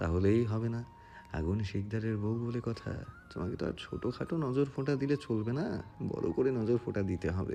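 The clip is reading aloud in a natural voice. Pitch varies in an ordinary way.

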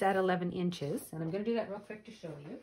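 A woman at a very fast pace, medium-pitched, over noticeable background noise. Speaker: craft video maker. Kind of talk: tutorial. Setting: home studio video. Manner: casual, hesitant with filler words.

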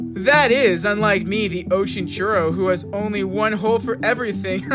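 A man puts on a strained character voice at a moderate pace. Loud music plays in the background. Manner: jokey, self-deprecating.

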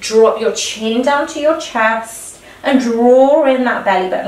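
A woman's high-pitched voice comes through with audible room echo. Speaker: fitness instructor. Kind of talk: exercise class instruction. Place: home room. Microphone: camera far.

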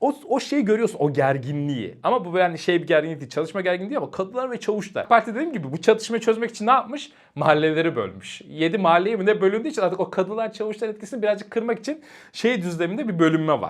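Against a quiet background, a man with a high pitch talks at a very fast pace, his tone animated and his intonation lively. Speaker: professor and YouTuber. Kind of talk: casual vlog-style commentary. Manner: animated, chatty with laughter.

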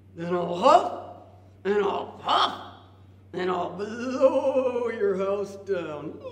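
Putting on a cartoonish character voice, a woman speaks very slowly at a medium pitch, with an audible echo around her. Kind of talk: children's puppet show. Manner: gruff, blustering.

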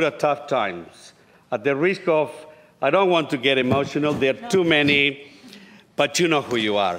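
Intonation rises and falls in a lively way as a man talks with a Spanish accent. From Uruguay. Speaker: state politician. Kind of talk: parliamentary speech. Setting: parliament chamber. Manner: formal. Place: hall. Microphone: podium.

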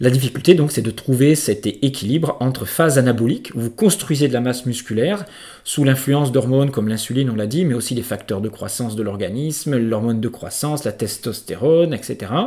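This man talks at a fairly quick pace in a medium pitch, with ordinary pitch variation and a dark, mellow, somewhat breathy tone. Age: 50s. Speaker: naturopath and trainer. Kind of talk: educational monologue.

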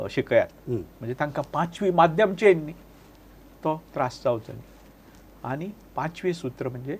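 This man sounds somewhat breathy. His intonation is lively. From Goa. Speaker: writer and entrepreneur; interview guest. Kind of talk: interview. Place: studio. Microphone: lapel.

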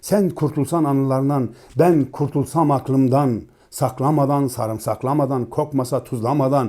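His dark, mellow tone carries as this man talks at a moderate pace. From eastern Turkey, Dersim. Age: 40s. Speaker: poet and musician. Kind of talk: poetry reading.

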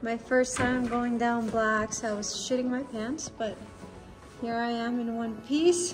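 Over clear background music, a woman speaks at a very slow pace with fairly even intonation. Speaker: travel vlogger. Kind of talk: casual vlog chat. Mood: proud, relieved. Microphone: phone near.

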